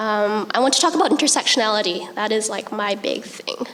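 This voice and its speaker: A soft-spoken woman with a western Canadian accent talks at a fairly high pitch with ordinary pitch variation, amid noticeable background noise and audible room echo. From Vancouver area, western Canada. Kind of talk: panel presentation. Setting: conference stage with audience. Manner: hesitant, many ums.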